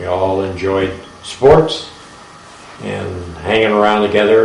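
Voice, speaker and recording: An Ohio accent with ordinary pitch variation, over noticeable background noise and audible room echo. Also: man. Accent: Midwestern American (Ohio). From northeast Ohio (Champion, near Warren). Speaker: war veteran. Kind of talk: oral history interview.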